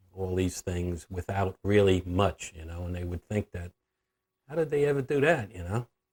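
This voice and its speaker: A somewhat breathy, dark, mellow voice speaks in an American accent, with a dry, close sound with no echo and a very clean recording with a silent background. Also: man. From New York, Long Island. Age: 70s. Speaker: grandfather telling life story. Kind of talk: interview reminiscence. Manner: halting, many fillers.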